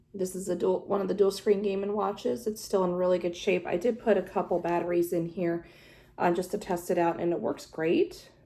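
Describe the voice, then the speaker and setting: In a relaxed, dark and mellow tone, a woman speaks at a fairly quick pace with fairly even intonation. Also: medium pitch for a woman. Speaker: video game collector YouTuber. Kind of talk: casual show-and-tell vlog. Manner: relaxed, many filler words.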